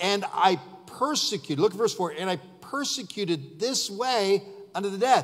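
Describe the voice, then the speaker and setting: A man speaks at a moderate pace with a high pitch, lively intonation and an American accent against a quiet background. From US. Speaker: pastor. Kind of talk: sermon. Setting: church. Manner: emphatic, repeating points for stress, preacher in full flow. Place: church.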